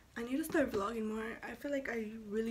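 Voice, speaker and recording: A woman talks with ordinary pitch variation while noticeable background noise runs underneath. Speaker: video blogger. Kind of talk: casual vlog. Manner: casual, rambling. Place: home room. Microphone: phone near.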